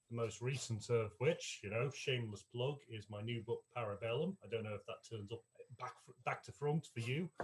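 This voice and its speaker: A man talks at a moderate pace and medium pitch, somewhat breathy, with ordinary pitch variation. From Ireland. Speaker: author and former army reservist. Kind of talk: convention panel discussion. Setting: live-streamed online panel.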